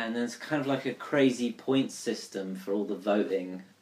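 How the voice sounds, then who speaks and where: A moderate pace in a southern English accent. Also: man. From southern England, Surrey. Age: 20s. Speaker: recent graduate. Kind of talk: casual chat.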